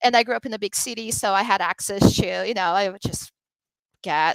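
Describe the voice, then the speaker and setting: On a very clean recording with a silent background and a dry, close sound with no echo, a woman of medium pitch speaks at a fairly quick pace with a Portuguese accent. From Brazil. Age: 30s. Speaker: drag performer. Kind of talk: interview conversation.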